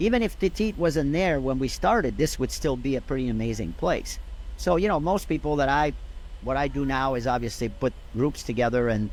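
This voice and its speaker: At a fairly quick pace, a man talks with a French Canadian accent. His pitch is medium. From Quebec, Canada. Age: 70s. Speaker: golf director emeritus. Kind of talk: interview. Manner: passionate.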